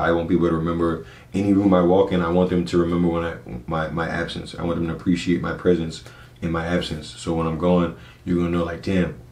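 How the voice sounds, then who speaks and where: A man with an American accent talks at a very fast pace in a very deep, low voice. His intonation is monotone and flat, with noticeable background noise and audible room echo. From US South, Charleston, South Carolina (James Island). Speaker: DJ and photographer. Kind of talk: podcast interview, casual chat. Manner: casual, repeats words when starting sentences.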